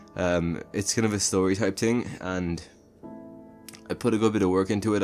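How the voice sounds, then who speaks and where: Music plays in the background as a man with a very deep, low pitch talks. His pace is very fast, his intonation fairly even. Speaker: movie reviewer. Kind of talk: casual talk to camera.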